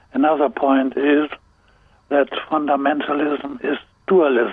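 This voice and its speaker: Speaking at a very slow pace, a man is heard against noticeable background noise. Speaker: theologian. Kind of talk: interview answer.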